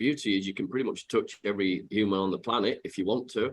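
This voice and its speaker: With a Yorkshire accent, a man speaks at a fairly quick pace in a fairly low pitch and fairly even intonation. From Yorkshire, northern England. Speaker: software company executive. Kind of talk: interview. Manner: hesitant, many fillers.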